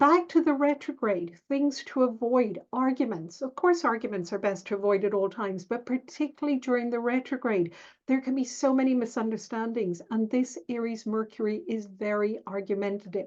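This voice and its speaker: A woman with an unremarkable speaking voice and fairly high pitch speaks at a moderate pace against a quiet background. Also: lively intonation, hardly any pauses. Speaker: astrologer. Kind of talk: tutorial. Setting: screen share video.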